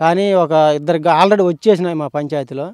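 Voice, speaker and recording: The pitch moves in an ordinary way. The sound is dry, with no echo. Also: man. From Andhra Pradesh, India. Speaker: village shopkeeper. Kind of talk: street vox-pop interview. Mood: calm, mildly complaining. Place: open country. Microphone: handheld.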